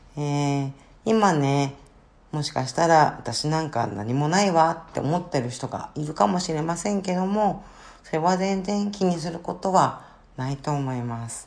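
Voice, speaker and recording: A woman with a very deep, low pitch speaks fairly slowly, with lively intonation and big swings in loudness. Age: 50s. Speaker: podcaster, office worker and counselor. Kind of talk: casual podcast monologue. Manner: hesitant with many fillers.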